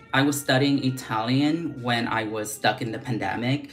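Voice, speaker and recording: Very deep, low female voice with audible room echo and noticeable background noise. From Vietnam. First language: Vietnamese. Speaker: beauty vlogger. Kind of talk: casual livestream chat. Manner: casual, chatty with many fillers.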